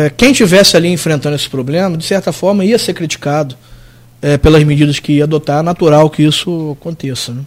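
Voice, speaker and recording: The speaker is a man at a fairly high pitch. He moves at a fairly quick pace with ordinary pitch variation. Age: 30s. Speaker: city attorney general. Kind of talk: radio interview.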